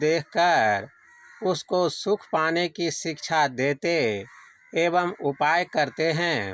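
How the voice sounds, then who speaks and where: Intonation is lively in this unremarkable speaking voice. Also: man. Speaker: devotional reader of a spiritual discourse. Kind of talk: devotional discourse reading. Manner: measured, sermon-like reading.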